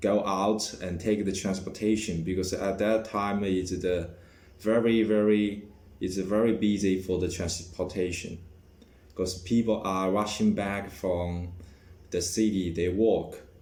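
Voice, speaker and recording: Monotone and flat, a man with a dark, mellow, fairly low voice speaks at a very slow pace with long, frequent pauses amid audible room echo. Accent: Chinese. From China. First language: Chinese. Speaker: vlogger. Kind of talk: personal vlog monologue. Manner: halting, many fillers and restarts.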